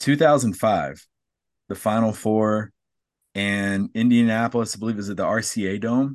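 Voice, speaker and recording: At a fairly slow pace, a man speaks in a normal speaking voice of medium pitch with ordinary pitch variation against a quiet background. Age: 40s. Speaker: podcast host, former basketball player. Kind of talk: interview. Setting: video call.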